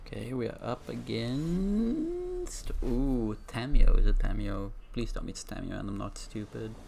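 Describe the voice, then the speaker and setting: With a non-native accent, the speaker keeps a fairly slow pace with hardly any pauses. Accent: non-native, trouble with some words. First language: not English. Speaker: gaming streamer. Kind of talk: gameplay commentary. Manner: halting, frequent self-corrections.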